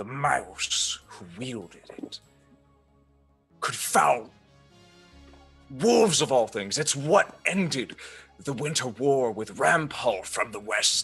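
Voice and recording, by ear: Slow and gravelly, a man's put-on character voice swings widely in pitch, dips into vocal fry and breaks into long, frequent pauses over faint background music. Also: medium pitch for a man, fairly bright tone.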